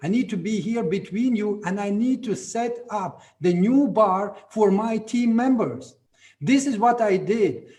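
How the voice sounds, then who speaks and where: A man with a Latvian accent, high pitch, a dark, mellow tone and a fairly slow pace. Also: ordinary pitch variation. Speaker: network marketing leader. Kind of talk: motivational talk. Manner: animated.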